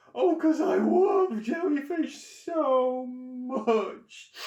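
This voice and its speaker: In a put-on character voice, the speaker talks at a very slow pace with a high pitch. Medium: read story. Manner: complaining, sad.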